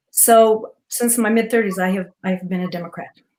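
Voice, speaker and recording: A woman with an American accent speaks fairly quickly. Her pitch is fairly high and varies in an ordinary way. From Utah, Cedar City. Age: 60s. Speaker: retired teacher, panel guest. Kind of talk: casual interview introduction.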